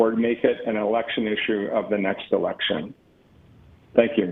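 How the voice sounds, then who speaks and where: A man at a medium pitch, going at a moderate pace. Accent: Western Canadian. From Canada, Calgary. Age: 60s. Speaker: member of the public at a council hearing. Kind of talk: public hearing statement.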